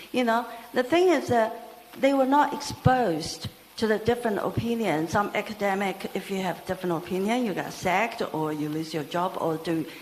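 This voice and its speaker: Noticeable background noise behind a moderate pace and very wide pitch swings. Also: woman, medium pitch for a woman. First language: not English. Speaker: audience member asking a question. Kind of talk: audience question at a talk. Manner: halting.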